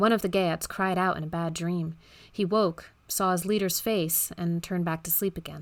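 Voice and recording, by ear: The text is read aloud. The delivery uses a natural voice.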